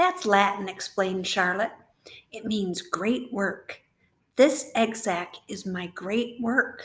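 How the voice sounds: A natural reading voice is heard. Its pitch varies in an ordinary way.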